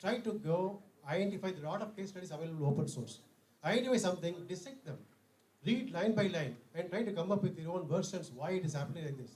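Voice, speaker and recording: Amid noticeable background noise and audible room echo, a man with an Indian accent speaks very fast in a high voice with ordinary pitch variation. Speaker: conference speaker. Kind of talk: lecture.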